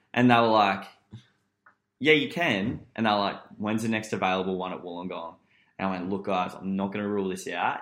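In an Australian accent, a man talks at a fairly quick pace with a fairly low pitch and ordinary pitch variation. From Newcastle, Australia. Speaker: podcast guest. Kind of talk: casual chat.

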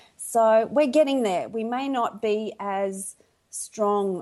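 In an Australian accent, a woman with a dark, mellow tone speaks very slowly with lively intonation. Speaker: podcast guest.

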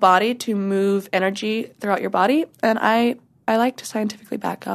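Over a quiet background, a woman with an American accent and a normal speaking voice talks at a moderate pace, fairly high in pitch with fairly even intonation. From US Pacific Northwest, Washington. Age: 20s. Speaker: adult film performer. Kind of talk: casual interview chat.

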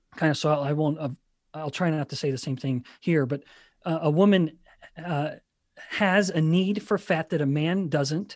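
An unremarkable speaking voice from a man, fairly high in pitch with ordinary variation, at a moderate pace, dry and close with no echo, on a very clean recording with a silent background. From Canada. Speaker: scientist and author. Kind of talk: interview.

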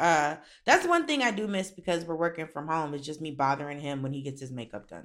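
An animated woman's voice, very deep and low, at a very fast pace with ordinary pitch variation, on a very clean recording with a silent background. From Florida, Miami. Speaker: comedian and actor. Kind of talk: casual chat.

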